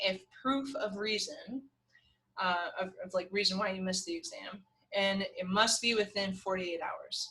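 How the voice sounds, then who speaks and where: With an American accent, a woman's bright, sharp tone moves with ordinary pitch variation. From New York / New Jersey area. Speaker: math instructor. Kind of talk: course introduction lecture. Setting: recorded video lecture. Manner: casual, with many fillers.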